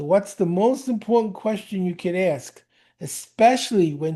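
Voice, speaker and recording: A man with a New York accent speaks at a fairly slow pace, his high voice carrying a dark, mellow tone and ordinary pitch variation. The background is quiet. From New York (Brooklyn). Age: 70s. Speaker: speed reading teacher. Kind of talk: interview. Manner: animated.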